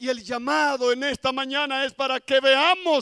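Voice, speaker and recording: Recorded dry and close with no echo, a man speaks at a very slow pace. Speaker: pastor. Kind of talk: sermon. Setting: church.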